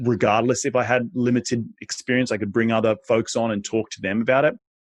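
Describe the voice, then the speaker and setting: Talking at a very fast pace in an animated tone, a man with an Australian accent and a medium pitch comes through with a dry, close sound and no echo. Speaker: real estate investor. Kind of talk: interview. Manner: animated, repetitive restarts.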